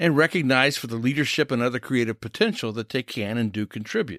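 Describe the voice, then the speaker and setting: A man with an American accent talks very fast in a medium pitch, his intonation lively. The sound is dry and close with no echo, on a very clean recording with a silent background. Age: 70s. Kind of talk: scripted podcast commentary.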